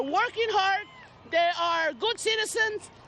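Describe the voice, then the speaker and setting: Lively intonation and a bright, sharp tone mark this voice with an American accent, with crowd noise in the background. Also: woman. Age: 60s. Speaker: protester. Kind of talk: news interview soundbite.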